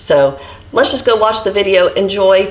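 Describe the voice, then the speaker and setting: Noticeable background noise beneath a woman's voice of medium pitch. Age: 40s. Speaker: vlogger sharing eating disorder recovery. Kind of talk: casual vlog talk to camera.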